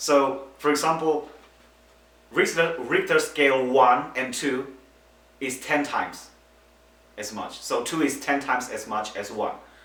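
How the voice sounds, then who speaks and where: With a non-native accent, a man speaks at a fairly high pitch and fairly even intonation, pausing long and often, amid audible room echo and noticeable background noise. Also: fairly slow pace. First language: not English. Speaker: earthquake expert interviewee. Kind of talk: interview explanation.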